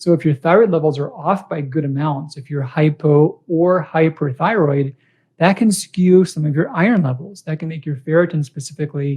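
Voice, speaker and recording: Pitched fairly high, a man speaks with ordinary variation in his pitch. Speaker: doctor hosting live Q&A. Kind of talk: live stream Q&A. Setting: Facebook live video. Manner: fast; casual, friendly.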